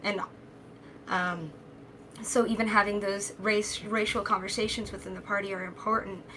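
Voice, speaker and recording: A woman at a medium pitch speaks in a flat monotone at a moderate pace, with long, frequent pauses, big swings in loudness, and noticeable background noise. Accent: American. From Nebraska. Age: 30s. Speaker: political candidate and party official. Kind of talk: panel discussion.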